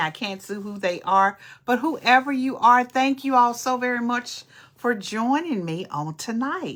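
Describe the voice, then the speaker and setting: Animated in tone, a woman with an East Texas accent speaks at a moderate pace in a bright, sharp tone, with ordinary pitch variation, on a very clean recording with a silent background. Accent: East Texas Southern US. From East Texas (Nacogdoches). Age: 60s. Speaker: podcast host and social worker. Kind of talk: casual livestream chat. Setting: live stream.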